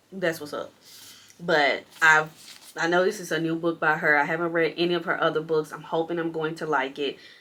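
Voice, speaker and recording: A woman's bright, sharp, fairly low-pitched voice at a fairly quick pace. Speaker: book vlogger. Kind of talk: casual vlog. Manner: fast; animated.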